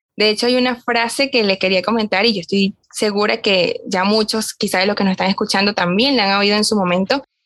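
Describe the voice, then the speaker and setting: With hardly any pauses, a woman talks at a fairly quick pace and a medium pitch, her intonation fairly even and her loudness very even. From Venezuela. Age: young. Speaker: podcast co-host, young lay Augustinian. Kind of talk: casual chat.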